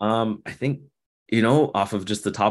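A man keeps a moderate pace and fairly even intonation, with a quiet background. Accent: Toronto. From Canada, Toronto. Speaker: basketball coach and former pro player. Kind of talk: casual interview.

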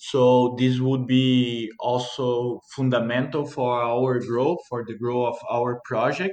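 A man with a Portuguese accent speaks at a very slow pace with hardly any pauses. His pitch is medium and his intonation monotone and flat. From Brazil, Minas Gerais. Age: 20s. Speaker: coffee farmer. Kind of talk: interview.

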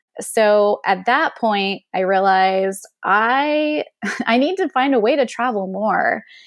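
She has a normal speaking voice, fairly high in pitch. Her intonation is lively. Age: 30s. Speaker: travel blogger. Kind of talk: casual interview chat.

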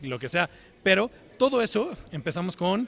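This is a man talking. He speaks with a Mexican accent. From Mexico, Cuernavaca. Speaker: software engineer, tech company developer relations. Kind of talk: interview.

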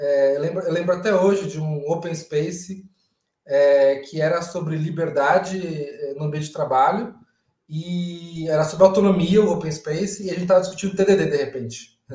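Delivery is neither hurried nor slow. The pitch holds mostly level throughout. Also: man, high pitch for a man. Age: 30s. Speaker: agile coach and event organizer. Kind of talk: casual interview on a live stream. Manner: halting, with repeated words.

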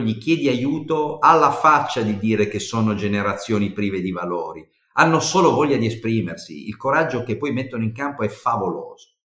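This man's pitch swings very widely. He speaks at a moderate pace. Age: 60s. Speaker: HR director. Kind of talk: interview.

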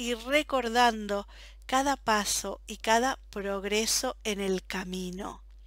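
A woman talks with ordinary pitch variation. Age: 40s. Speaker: podcast host, personal development. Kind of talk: solo podcast monologue. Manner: enthusiastic.

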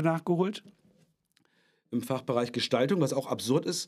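A man talks at a moderate pace with ordinary pitch variation in an unremarkable speaking voice. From northern Germany. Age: 40s. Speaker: actor and puppeteer. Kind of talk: casual interview.

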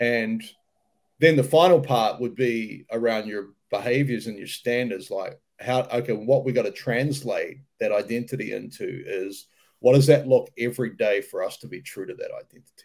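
Recorded very cleanly against a silent background, a man with a New Zealand accent speaks with big swings in loudness. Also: moderate pace. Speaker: mental skills coach. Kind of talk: casual interview.

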